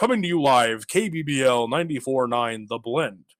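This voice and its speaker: A put-on character voice moves at a fairly quick pace. The intonation is lively. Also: man, medium pitch for a man. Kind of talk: announcer.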